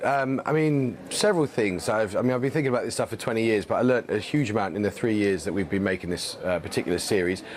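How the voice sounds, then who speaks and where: This man talks very fast with almost no breaks. His pitch swings very widely. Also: medium pitch for a man. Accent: London. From London. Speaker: TV presenter and documentary maker. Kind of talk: TV interview.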